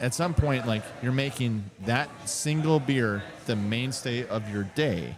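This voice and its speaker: Over music in the background, a man with a medium-pitched voice talks at a fairly slow pace with ordinary pitch variation. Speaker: brewery co-owner. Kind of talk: casual chat. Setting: at the brewery.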